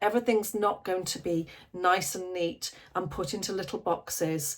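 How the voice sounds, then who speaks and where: A woman's unremarkable speaking voice, medium in pitch, at a fairly slow pace. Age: 50s. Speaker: life coach. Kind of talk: casual talk to camera. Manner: conversational, warm.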